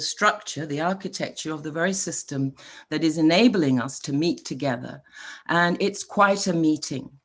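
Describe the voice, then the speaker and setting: A woman's fairly low-pitched voice with lively intonation at a moderate pace. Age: 60s. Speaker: panel moderator. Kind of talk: online panel moderation. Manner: hesitant, many fillers.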